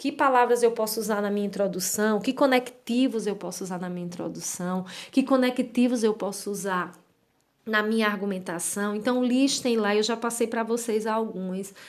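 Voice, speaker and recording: At a moderate pace and with fairly even intonation, a plain, everyday voice speaks on a very clean recording with a silent background. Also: woman, fairly high pitch for a woman. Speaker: writing teacher. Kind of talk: lecture.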